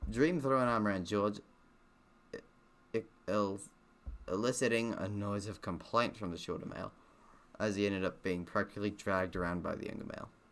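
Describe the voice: A man speaks at a moderate pace with a fairly bright tone, a fairly low pitch, fairly even intonation, and long, frequent pauses.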